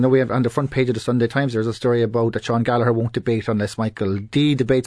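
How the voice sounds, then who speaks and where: A man with a Cork accent speaks over a quiet background. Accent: Cork Irish. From Ireland, Cork City. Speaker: politics professor. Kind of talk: panel discussion on radio. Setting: radio studio.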